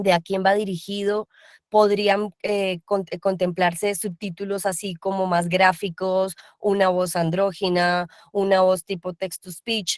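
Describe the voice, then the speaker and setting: In a dry, close recording with no echo, a woman at medium pitch speaks at a fairly slow pace with monotone, flat intonation. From Colombia. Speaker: voice actor. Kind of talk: panel discussion. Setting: video call.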